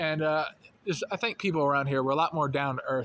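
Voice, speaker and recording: A man speaks very fast in a fairly high voice, with fairly even intonation and a slight Southern US accent. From North Carolina. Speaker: vlogger. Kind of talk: casual monologue. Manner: casual, with fillers.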